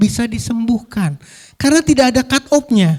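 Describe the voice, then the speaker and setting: Lively intonation and an animated tone mark this man's speech, which has a dry, close sound with no echo. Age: 60s. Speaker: physician and pharmaceutical industry trainer. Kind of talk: health seminar talk.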